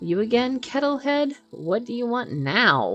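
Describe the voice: A woman cackles in a put-on character voice pitched high. She speaks at a fairly slow pace.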